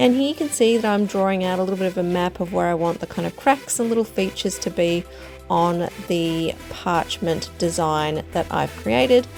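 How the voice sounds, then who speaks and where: Over music in the background, a woman with an Australian accent speaks at a fairly low pitch with lively intonation. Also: moderate pace. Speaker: artist and painting teacher. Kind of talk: painting tutorial narration.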